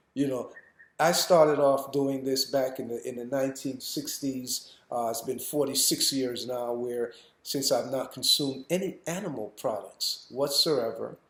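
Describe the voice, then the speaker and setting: A man's fairly high voice at a fairly slow pace, fairly even in intonation, with audible room echo. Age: 60s. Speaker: raw food educator. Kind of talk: lecture. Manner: halting.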